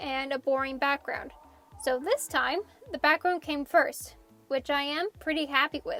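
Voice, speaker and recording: Over music in the background, a woman with a high pitch talks at a fairly slow pace with ordinary pitch variation, the sound dry and close with no echo. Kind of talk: casual art process narration.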